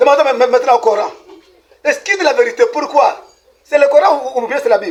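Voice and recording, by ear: A man speaks fast with an extremely high pitch and ordinary pitch variation.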